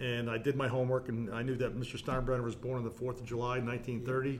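A man with an American accent speaks at a medium pitch, with audible room echo. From New Jersey (South Orange). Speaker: stadium facility manager and lecturer. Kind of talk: casual interview.

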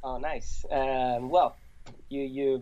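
In an Italian accent, a man speaks at a medium pitch with fairly even intonation. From Italy.

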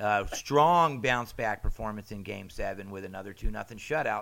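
An ordinary speaking voice from a man with an American accent, at a moderate pace and with ordinary pitch variation. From Southern California. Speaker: podcast host. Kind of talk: casual chat.

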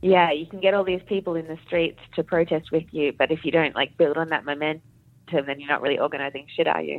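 A woman with an Australian accent, very deep and low in pitch, fairly even intonation, very fast delivery. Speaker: doctor in training as general practitioner. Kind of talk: casual chat. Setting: remote call.

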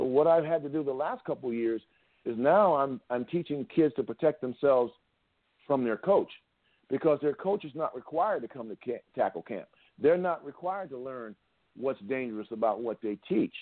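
A man speaks in a plain, everyday voice, pitched fairly high. His intonation is lively and his pace moderate. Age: 60s. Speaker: football coach and tackling trainer. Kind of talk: casual chat.

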